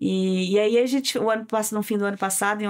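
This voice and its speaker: A woman with a medium pitch and fairly even intonation talks at a fairly quick pace in a very clean recording with a silent background. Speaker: singer and cultural producer. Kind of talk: interview conversation. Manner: halting.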